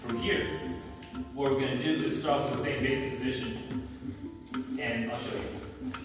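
A man speaks at a moderate pace with ordinary pitch variation. Music plays clearly in the background, and room echo is audible. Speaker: martial arts instructor. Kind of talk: class instruction. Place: gym. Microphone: camera far.

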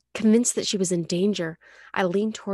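The voice reads without strain. It sounds unforced.

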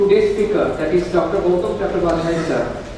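Heard through strong room echo and light background noise, a man talks at a moderate pace in a high voice. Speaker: event emcee. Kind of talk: formal announcements. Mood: formal, polite. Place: hall.

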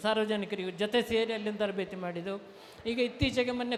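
Against noticeable background noise, a man talks at an extremely high pitch with monotone, flat intonation. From coastal Karnataka, Sullia (Dakshina Kannada). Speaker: mango conservation volunteer. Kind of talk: public speech. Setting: stage at a fair.

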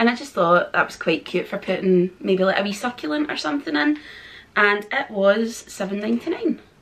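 A woman with a Scottish accent speaks with very wide pitch swings. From Scotland. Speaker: vlogger. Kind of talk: haul video chat to camera. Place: home room.

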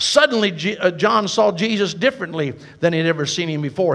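A man with a high pitch, ordinary pitch variation and moderate pace, over a quiet background. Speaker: evangelist. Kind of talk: sermon to a congregation, call-and-response. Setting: church with congregation. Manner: animated, rousing preacher cadence with audience prompts; warm, conversational, occasionally halting with self-corrections. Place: church. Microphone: headset.

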